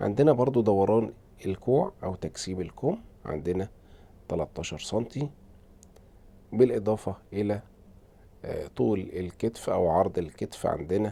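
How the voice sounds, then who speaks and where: Speaking with an Egyptian accent, a man uses a dark, mellow tone at a fairly low pitch with ordinary pitch variation. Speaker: tailor teaching sewing. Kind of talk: tutorial. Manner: hesitant with fillers.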